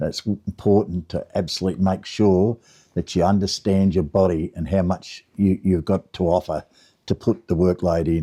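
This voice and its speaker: In a very clean, dry and close recording with a silent background and no echo, a man with an Australian accent speaks at a moderate pace in a very deep, low voice of dark, mellow tone, his intonation fairly even. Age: 70s. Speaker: gardener, lawn care business owner. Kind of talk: casual talk to camera.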